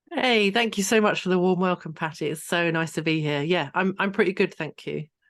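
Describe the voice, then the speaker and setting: Against a quiet background, a woman with an English accent talks at a fairly quick pace, her fairly low pitch showing ordinary variation. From England, Hertfordshire. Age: 30s. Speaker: trauma healing coach. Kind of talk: interview.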